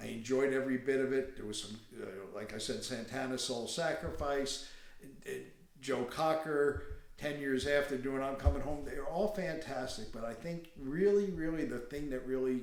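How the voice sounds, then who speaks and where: Audible room echo surrounds a man with an American accent. He speaks at a fairly slow pace. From New York State, Catskills. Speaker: Woodstock attendee. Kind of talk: personal reminiscence interview.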